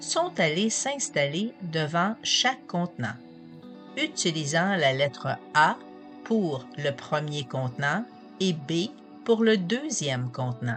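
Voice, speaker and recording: At a very slow pace with long, frequent pauses, a woman speaks in a very deep, low pitch with very wide pitch swings as music plays in the background. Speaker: hypnotherapist. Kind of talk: narrated talk on positive thinking and hypnosis.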